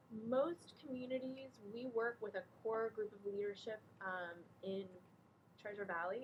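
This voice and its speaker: Speaking in a plain, everyday voice, a woman with an American accent has a medium pitch and ordinary pitch variation. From Texas. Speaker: nonprofit director. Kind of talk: talk to a small group.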